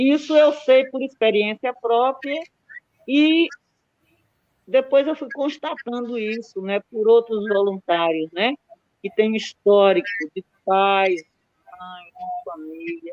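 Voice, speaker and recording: Speaking at a very slow pace with long, frequent pauses, a woman uses lively intonation in a dry, close sound with no echo. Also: fairly high pitch for a woman, big swings in loudness. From Brazil, Sergipe backcountry. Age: 70s. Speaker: community activist. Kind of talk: interview at an academic event.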